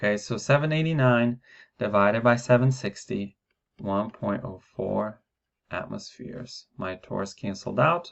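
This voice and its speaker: This man has an ordinary speaking voice. He talks at a fairly slow pace. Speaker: science teacher. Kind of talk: lecture. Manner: casual, with fillers.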